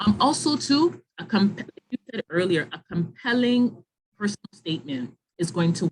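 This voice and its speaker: A woman's somewhat breathy voice at medium pitch, with very wide pitch swings and a moderate pace, dry and close with no echo. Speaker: webinar presenter on graduate school admissions. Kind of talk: online info session with Q&A.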